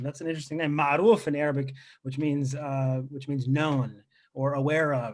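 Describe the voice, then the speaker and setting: A man with a plain, everyday voice and fairly high pitch at a fairly quick pace. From Lebanon, left at age three, raised in US. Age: 30s. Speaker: comedian. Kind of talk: stand-up. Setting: video call.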